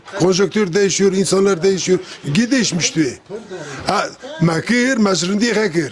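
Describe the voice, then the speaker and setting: Through noticeable background noise, a man with a high pitch talks at a fairly slow pace, his loudness very even and his pitch variation ordinary. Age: 60s. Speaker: emigrant worker returning home. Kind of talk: casual group conversation.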